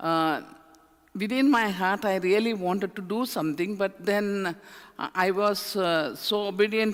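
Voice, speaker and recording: In an Indian accent, a woman speaks at a fairly slow pace in a medium pitch with ordinary pitch variation. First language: an Indian language, not English. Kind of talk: talk to a church audience, personal testimony. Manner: halting, many fillers.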